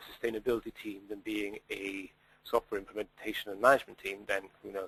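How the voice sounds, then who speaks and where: Speaking very fast in a Welsh accent, a man keeps a medium pitch and a monotone, flat intonation. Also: dry, close sound with no echo. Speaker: sustainability data consultant. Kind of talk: webinar Q&A. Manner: hesitant, many fillers.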